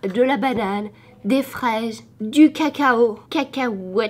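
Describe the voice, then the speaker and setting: Noticeable background noise sits behind a woman whose fairly high voice moves with lively intonation. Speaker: teacher and vlogger. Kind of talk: vlog. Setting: classroom.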